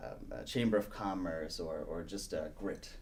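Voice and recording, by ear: Speaking at a fairly slow pace, a man with a low pitch uses ordinary pitch variation.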